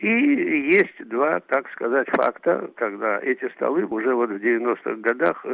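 A man speaks at a fairly slow pace, with a dry, close sound and no echo. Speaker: billiards player. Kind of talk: interview.

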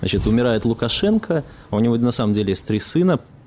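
A man talks fairly fast, with noticeable noise in the background. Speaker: radio journalist. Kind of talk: panel discussion.

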